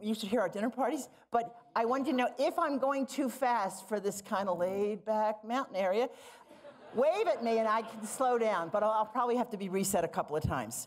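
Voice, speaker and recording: Fairly quick speech in an American accent, with ordinary pitch variation. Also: woman. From Philadelphia, US. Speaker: library director, nurse scientist. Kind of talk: conference keynote. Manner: fast.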